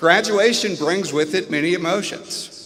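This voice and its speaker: A man speaks loudly at a very slow pace with ordinary pitch variation. Noticeable background noise and audible room echo are present. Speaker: biology professor. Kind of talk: commencement speech. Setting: commencement ceremony stage with audience.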